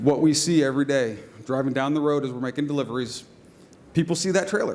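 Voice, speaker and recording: Very fast and fairly high-pitched, a man rattles through his words. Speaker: small business co-owner pitching at competition. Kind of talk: business pitch Q&A. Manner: loud.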